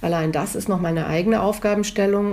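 A woman speaks in a dark, mellow tone at a medium pitch. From northern Germany, near Hamburg. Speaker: museum director and historian. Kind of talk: interview. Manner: formal.

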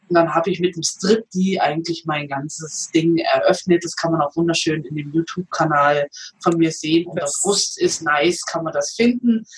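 Pitched fairly low, a woman talks at a moderate pace with ordinary pitch variation as noticeable background noise plays. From eastern Germany. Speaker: comedian and massage therapist. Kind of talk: interview.

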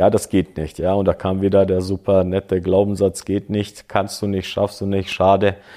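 On a very clean recording with a silent background, a man speaks with hardly any pauses at a fairly low pitch, in a dark, mellow tone with monotone, flat intonation. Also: moderate pace. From southwest Germany (Böblingen), partly Croatia. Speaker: former kickboxing champion and coach. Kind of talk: life story interview.

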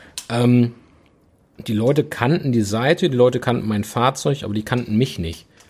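A somewhat breathy voice with ordinary pitch variation, speaking at a moderate pace. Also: man, medium pitch for a man. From Ruhr area, Oberhausen (western Germany). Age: 30s. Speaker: business owner (car apparel brand). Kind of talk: casual chat.

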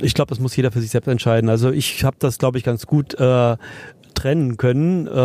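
At a fairly quick pace, a man speaks in a dark, mellow tone, with a dry, close sound that has no echo. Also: medium pitch for a man, ordinary pitch variation. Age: 60s. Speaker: entrepreneur, education institute founder. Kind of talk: interview. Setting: podcast bus at a trade fair.

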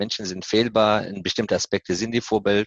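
Fairly quick, fairly even-toned speech from a man with a fairly low pitch. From Afghanistan. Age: 40s. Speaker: corporate HR director. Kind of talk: interview. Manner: hesitant, many fillers.

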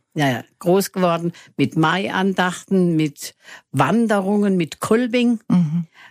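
The sound is dry and close with no echo as a woman speaks at medium pitch and a very slow pace. Her intonation is lively and her loudness very even. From Germany, Freiburg (Baden). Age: 80s+. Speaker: local senior resident. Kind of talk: radio interview.

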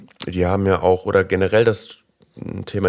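A man's fairly low-pitched voice. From Germany. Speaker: podcast host. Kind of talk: interview.

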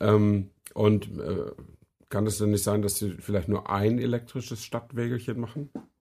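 A man's somewhat breathy, dark, mellow voice at a fairly low pitch, with fairly even intonation and a fairly slow pace. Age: 50s. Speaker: car podcast co-host. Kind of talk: casual chat.

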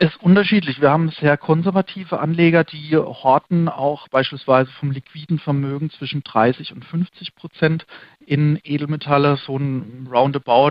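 A man's plain, everyday voice, fairly high in pitch, with fairly even intonation and a moderate pace. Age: 30s. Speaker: managing director of a fund and gold trading firm. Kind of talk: interview.

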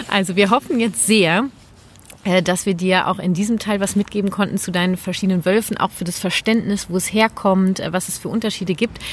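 At a fairly quick pace, a woman talks in an unremarkable speaking voice. Her pitch is medium and her intonation fairly even. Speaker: parenting coach and nonviolent communication trainer. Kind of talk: casual chat.

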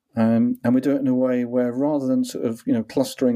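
With a dark, mellow tone, a man delivers his words in a monotone, flat intonation at medium pitch and a fairly quick pace. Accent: English. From England. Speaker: author and consultant. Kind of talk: interview.

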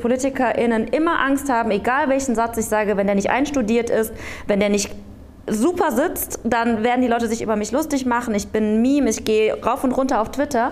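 A woman's high voice at a fairly quick pace, very even in loudness, with noticeable background noise and audible room echo. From Aachen, western Germany. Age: 30s. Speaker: local politician and candidate. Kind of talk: panel discussion before live audience. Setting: theatre stage with audience.

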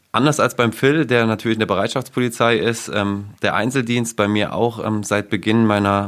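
A man with an ordinary speaking voice, a moderate pace and ordinary pitch variation. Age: 20s. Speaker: police press officer. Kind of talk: casual panel chat. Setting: studio.

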